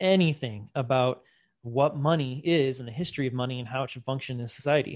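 In an ordinary speaking voice, a man talks at medium pitch with ordinary pitch variation. His loudness swings widely against a quiet background. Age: 40s. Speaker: bitcoin educator and podcast host. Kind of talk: casual interview.

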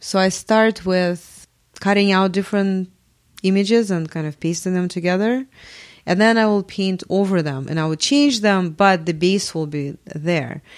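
On a very clean recording with a silent background, a woman with a Russian accent speaks at medium pitch and a moderate pace, with ordinary pitch variation. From Russia, Moscow. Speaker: multimedia artist. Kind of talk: interview. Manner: hesitant, many fillers.

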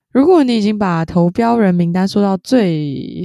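On a very clean recording with a silent background, a woman with a dark, mellow tone speaks at a fairly slow pace with lively intonation. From southern Taiwan. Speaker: podcast co-host. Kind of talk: casual chat.

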